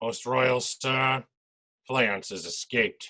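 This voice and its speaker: A man speaks at a very slow pace in a put-on character voice with a medium pitch. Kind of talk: amateur stage Shakespeare. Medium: stage play.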